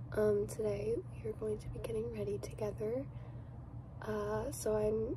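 Soft-spoken woman at a fairly slow pace, dry sound with no echo, noticeable background noise. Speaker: beauty vlogger. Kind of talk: soft-spoken get-ready-with-me makeup talk. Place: home room. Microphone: phone near.

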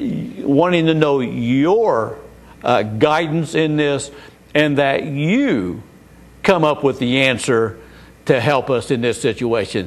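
A man at a very slow pace, with lively intonation. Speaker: bible teacher. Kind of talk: sermon-style teaching. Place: studio. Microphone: lapel.

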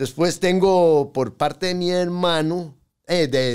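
Very slow pace from a man, quiet background. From Costa Rica, raised in Pérez Zeledón; Costa Rica. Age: 50s. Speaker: tattoo artist; podcast guest. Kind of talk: interview storytelling. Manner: halting. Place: studio. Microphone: studio mic.

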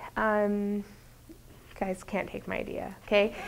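This is a woman speaking with an American accent. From Utah, US. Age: 30s. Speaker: business professor. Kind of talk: lecture. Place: classroom. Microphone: lapel.

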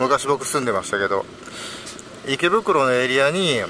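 A man speaks at a medium pitch with big pitch swings and a bright, sharp tone. His pace is moderate, with faint background noise.

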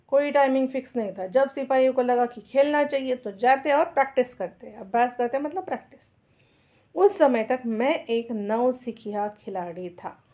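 Speaking in a high pitch with a dark, mellow tone, a woman shows ordinary pitch variation and big swings in loudness. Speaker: school teacher. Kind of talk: lesson explaining a textbook chapter with reading aloud.

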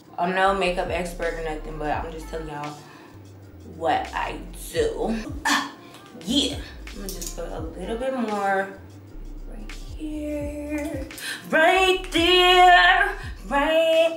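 A woman speaks at a very slow pace with long, frequent pauses and big swings in loudness. Clear music plays in the background, and the room echo is audible. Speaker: beauty vlogger. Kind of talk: casual makeup tutorial chat. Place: home room. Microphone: phone near.

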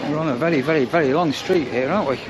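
Very fast speech from a man at a fairly high pitch, with ordinary pitch variation over clear background noise

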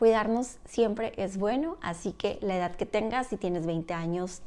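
Very slow delivery from a woman, pitch varying in an ordinary way. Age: 30s. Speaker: beauty vlogger. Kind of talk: product review tutorial. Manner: animated. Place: home room. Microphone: lapel.

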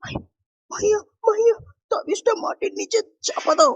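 A shaky put-on character voice at an extremely high pitch. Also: fairly slow pace.

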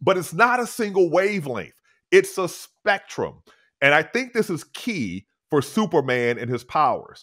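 The pitch swings very widely. The background is quiet. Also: man. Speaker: podcast guest. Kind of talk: explanatory podcast talk. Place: home room. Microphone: studio mic.

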